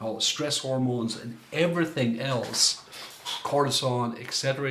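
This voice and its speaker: Heard over noticeable background noise and audible room echo, a man with an Irish accent talks with ordinary pitch variation. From Ireland. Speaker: coach and former minister. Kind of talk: workshop talk.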